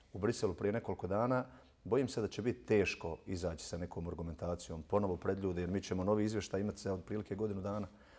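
Very deep and low, a man's voice races at a very fast pace with fairly even intonation. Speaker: guest. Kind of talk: interview answer. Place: studio. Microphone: lapel.

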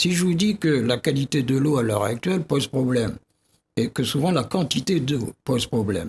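Somewhat breathy, a man speaks at a medium pitch and a moderate pace. His pitch swings very widely. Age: 80s+. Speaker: geographer and scientist; guest. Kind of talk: TV debate interview. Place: studio. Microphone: studio mic.

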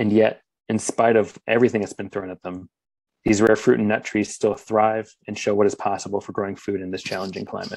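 Speaking with an American accent, a man with a fairly low pitch goes at a fairly quick pace in monotone, flat intonation. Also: quiet background. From Philadelphia, Pennsylvania; Pennsylvania. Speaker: urban forester; conference presenter. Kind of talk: conference presentation. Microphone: webcam.

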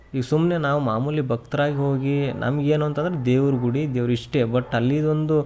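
This man has an unremarkable speaking voice with a fairly high pitch. His intonation stays fairly even and his loudness very even. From Bijapur district, north Karnataka. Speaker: podcast guest. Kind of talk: casual chat.

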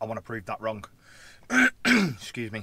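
Dry, with no echo, a man's fairly low voice has a bright, sharp tone at a fairly quick pace. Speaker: lorry driver vlogger. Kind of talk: casual vlog chat. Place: car. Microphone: phone near.

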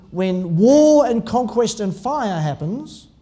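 A man's dark, mellow tone with very wide pitch swings and an Australian accent. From Tasmania, Australia. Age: 60s. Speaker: pastor. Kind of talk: sermon. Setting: church. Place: church. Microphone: podium.

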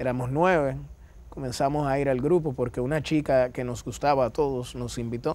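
At a moderate pace, a man talks with fairly even intonation in a dry sound with no echo. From Dominican Republic. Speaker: interview guest. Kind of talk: TV interview. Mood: warm, smiling storytelling. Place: studio. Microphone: lapel.

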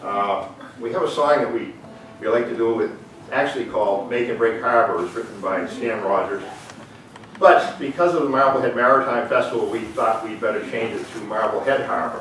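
There is audible room echo and light background noise as a man talks at a fairly quick pace. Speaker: host. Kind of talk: informal talk introducing performers. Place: hall. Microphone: camera far.

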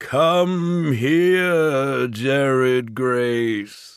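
A man does a put-on character voice at a medium pitch. The recording is very clean with a silent background.

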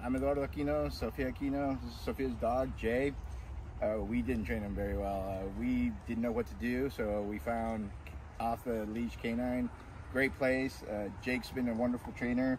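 A man's fairly low voice at a moderate pace, with very wide pitch swings, dry sound without echo and light background noise. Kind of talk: interview answer. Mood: pleased, grateful. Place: open country.

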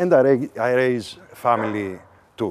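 A man's very slow speech over noticeable background noise. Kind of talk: casual self-introduction to camera. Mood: cheerful, playful. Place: garden. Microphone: lapel.

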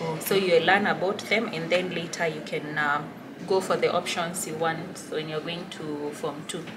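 A woman speaks at a fairly low pitch and a fairly slow pace, with hardly any pauses. Her intonation is fairly even, and there is noticeable background noise. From Kenya. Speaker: student vlogger. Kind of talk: vlog interview. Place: office. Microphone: camera far.

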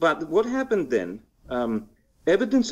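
Very wide pitch swings on a very clean recording with a silent background. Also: man. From Greece. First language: Greek. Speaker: historian. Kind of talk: interview. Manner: halting.

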